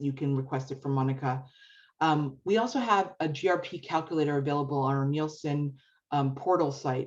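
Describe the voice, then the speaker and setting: Against a quiet background, a woman with a very deep, low pitch talks at a fairly quick pace with ordinary pitch variation. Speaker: media research presenter. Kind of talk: webinar presentation. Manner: fast.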